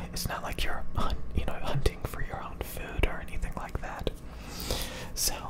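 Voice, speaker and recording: A man talks at an average tempo while heavy background noise nearly drowns him out. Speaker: ASMR creator. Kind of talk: soft-spoken motivational chat. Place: home room. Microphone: studio mic.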